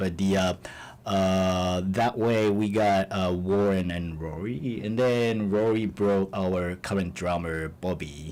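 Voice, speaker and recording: A man's very deep, low voice with a Japanese accent, very slow in pace, with ordinary pitch variation. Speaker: musician in a band. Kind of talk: radio interview. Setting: radio studio. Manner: halting, many fillers.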